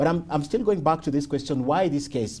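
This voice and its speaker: A man speaks with ordinary pitch variation and a somewhat breathy quality. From Kenya. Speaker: TV news interviewer. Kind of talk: interview. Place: home room.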